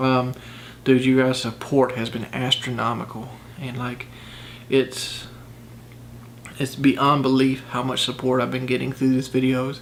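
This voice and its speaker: A man at medium pitch, monotone and flat, at a fairly slow pace with long, frequent pauses, over noticeable background noise. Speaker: vlogger doing fitness challenge. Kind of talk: casual vlog talk to camera. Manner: hesitant, many fillers.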